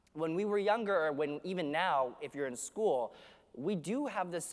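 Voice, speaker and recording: A man speaks loudly at a fairly quick pace, high in pitch with lively intonation and an energetic, animated tone. The recording is very clean, with a silent background. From Canada, Vancouver. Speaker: keynote speaker. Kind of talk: conference keynote speech. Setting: stage with audience.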